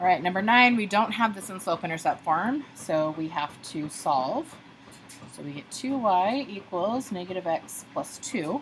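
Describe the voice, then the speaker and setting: A woman speaks at a medium pitch, somewhat breathy. Her pitch swings very widely. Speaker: math teacher. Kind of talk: tutorial.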